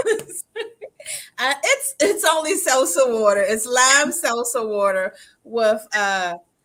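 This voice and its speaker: A woman with a DC accent speaks in a bright, sharp tone at a high pitch, with very wide swings in pitch. She leaves long, frequent pauses. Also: fairly slow pace. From Washington DC. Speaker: social media marketing consultant. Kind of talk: casual chat.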